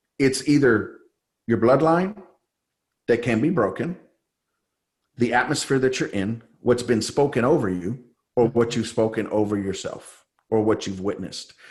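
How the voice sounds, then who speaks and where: A man with an American accent, medium pitch, ordinary pitch variation, a somewhat breathy voice, moderate pace and long, frequent pauses. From San Jose, California. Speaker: faith-based coach, former pastor. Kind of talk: interview testimony. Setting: podcast.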